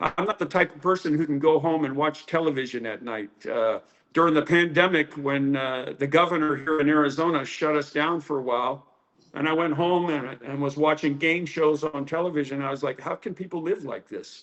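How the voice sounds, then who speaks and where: This man has an ordinary speaking voice and an American accent, pitched fairly high. He speaks at a fairly quick pace with fairly even intonation. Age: 60s. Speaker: karate teacher. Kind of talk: interview.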